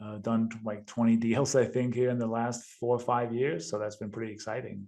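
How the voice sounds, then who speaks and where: In a Danish accent, a man talks at a moderate pace with medium pitch, fairly even intonation and a dark, mellow tone. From Denmark. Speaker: real estate investor. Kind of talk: podcast interview.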